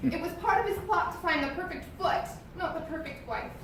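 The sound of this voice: A woman's put-on character voice, extremely high-pitched and full of vocal fry, with lively intonation, a fairly quick pace and strong room echo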